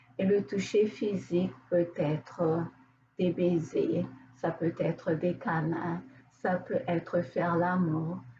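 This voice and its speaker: A woman speaks very slowly at a medium pitch with ordinary pitch variation, over noticeable background noise. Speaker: therapist. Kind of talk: casual talk to camera.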